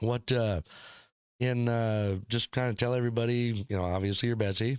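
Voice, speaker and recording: A man with an American accent speaks at a medium pitch in a normal speaking voice, at a moderate pace with fairly even intonation and very even loudness. The sound is dry and close with no echo, on a very clean recording with a silent background. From northern US. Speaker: podcast host. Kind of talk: casual chat.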